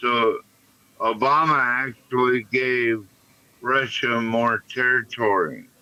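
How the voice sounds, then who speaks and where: A man speaks with an American accent. His pace is very slow and his intonation fairly even. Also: medium pitch for a man. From United States. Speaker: stream panelist. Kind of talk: casual chat.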